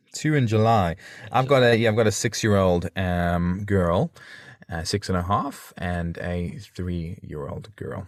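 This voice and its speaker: In a South African accent, a man with a very deep, low pitch talks at a fairly slow pace on a very clean recording with a silent background. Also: ordinary pitch variation. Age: 30s. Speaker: podcaster and father. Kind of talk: interview.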